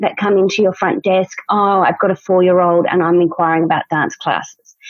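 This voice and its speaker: A woman with an Australian accent. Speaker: dance studio owner, podcast co-host. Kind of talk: casual chat.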